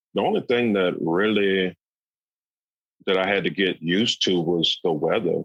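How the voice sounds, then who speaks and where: This man has a very deep, low pitch and an American accent, talking at a fairly slow pace with ordinary pitch variation. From US South, South Carolina. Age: 40s. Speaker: stand-up comedian. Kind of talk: interview.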